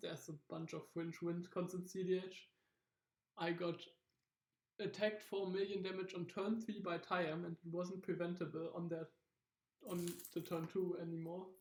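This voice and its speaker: The speech goes at a moderate pace, broken by long, frequent pauses. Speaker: card game content creator. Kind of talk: casual tutorial monologue. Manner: casual, halting with filler words.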